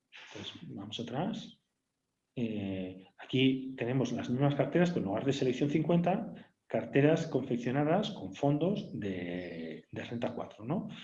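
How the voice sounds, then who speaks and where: Somewhat breathy and dark, mellow in tone, the voice moves at a fairly slow pace with very wide pitch swings and audible room echo. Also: man. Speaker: bank executive presenting webinar. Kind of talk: webinar product demo. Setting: online webinar. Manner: hesitant, many fillers.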